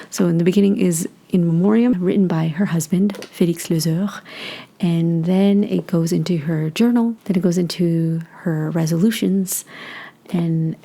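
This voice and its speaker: The speech moves at a moderate pace, and background noise is noticeable. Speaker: book reviewer. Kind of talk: casual book review talk.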